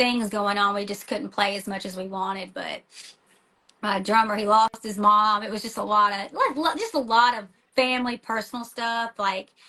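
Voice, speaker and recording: In a Tennessee accent, a woman with a fairly high voice talks at a fairly quick pace with ordinary pitch variation. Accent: Tennessee country. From US South, small-town Tennessee. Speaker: rock band vocalist and school teacher. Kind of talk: casual interview chat. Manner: animated, fast with many fillers and restarts.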